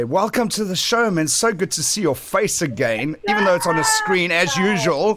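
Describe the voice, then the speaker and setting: A man talks at a fairly quick pace with lively intonation. Noticeable background noise runs behind him. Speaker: online radio show host. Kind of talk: casual chat interview. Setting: video call.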